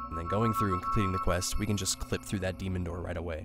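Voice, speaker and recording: Music in the background behind a man with a very deep, low pitch. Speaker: speedrunner. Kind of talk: video game tutorial narration. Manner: casual, hesitant.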